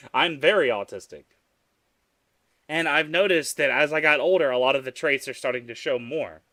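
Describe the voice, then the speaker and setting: Fairly high-pitched and animated, a man with a Southern US accent and a bright, sharp tone talks at a fairly quick pace with ordinary pitch variation and long, frequent pauses. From US South. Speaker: vtuber streamer. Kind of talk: live stream chat.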